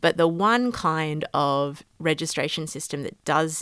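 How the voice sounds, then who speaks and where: A woman with an Australian accent speaks at a fairly slow pace in a very deep, low voice with ordinary pitch variation, in a very clean recording with a silent background and a dry, close sound with no echo. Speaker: law lecturer. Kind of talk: interview.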